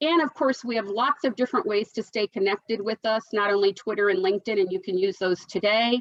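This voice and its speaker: A woman's fairly high voice at a fairly quick pace. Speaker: business coalition executive. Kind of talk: webinar presentation. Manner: fast.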